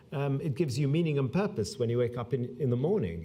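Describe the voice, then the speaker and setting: Speaking very fast at a medium pitch, a man with a somewhat breathy voice and dark, mellow tone makes very wide pitch swings. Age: 60s. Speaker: public health doctor. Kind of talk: conference speech. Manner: halting, many fillers.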